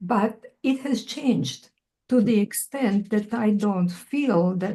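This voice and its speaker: In a Croatian accent, the speaker's dark, mellow tone comes through somewhat breathy. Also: woman. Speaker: poet. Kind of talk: Q&A conversation. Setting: video call.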